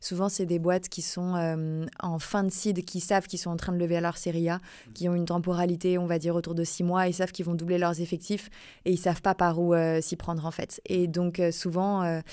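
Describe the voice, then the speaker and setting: On a very clean recording with a silent background, the voice carries a dark, mellow tone at a fairly quick pace with monotone, flat intonation. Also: woman. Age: 30s. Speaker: recruitment consultant. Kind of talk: podcast interview. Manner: hesitant, many fillers.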